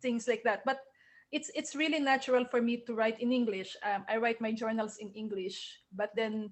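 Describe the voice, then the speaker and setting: With a Filipino accent, a woman talks with ordinary pitch variation. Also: moderate pace. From Philippines. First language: Tagalog. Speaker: novelist. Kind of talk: Q&A at book launch. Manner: halting, repeats words.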